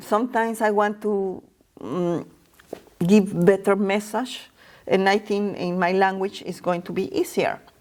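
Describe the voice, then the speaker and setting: A woman's medium-pitched voice with a non-native accent, at a fairly slow pace. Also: fairly even intonation. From Mexico. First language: Spanish. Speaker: Spanish teacher and entrepreneur. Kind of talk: interview. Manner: halting, many fillers.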